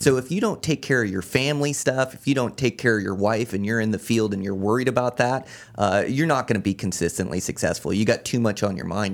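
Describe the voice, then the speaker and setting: A plain, everyday voice with an American accent and ordinary pitch variation. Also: man. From Washington state (Olympia). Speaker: backcountry hunter and podcaster. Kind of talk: casual interview. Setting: studio.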